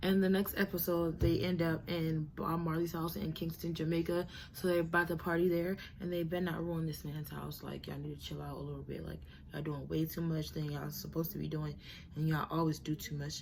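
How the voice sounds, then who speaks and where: A woman talks at a very fast pace. Audible room echo fills the recording. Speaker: YouTube reality TV commentator. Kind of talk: casual commentary, reality show review. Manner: animated.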